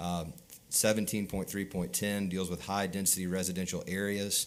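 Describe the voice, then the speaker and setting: The intonation is monotone and flat, on a very clean recording with a silent background. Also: man. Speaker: attorney representing a mining client. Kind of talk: public hearing testimony. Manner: fast.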